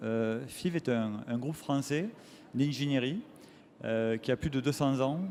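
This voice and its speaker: The voice is dark and mellow, fairly slow, with ordinary pitch variation. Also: man. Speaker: factory director. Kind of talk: conference talk. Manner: hesitant, many fillers.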